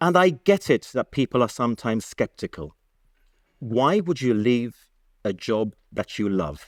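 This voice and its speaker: A man with a Gibraltarian accent talks fairly slowly at a medium pitch, his pitch swinging very widely. The recording is very clean with a silent background, and the sound is dry and close with no echo. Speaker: broadcaster and news presenter. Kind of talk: public talk. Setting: stage with audience. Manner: animated.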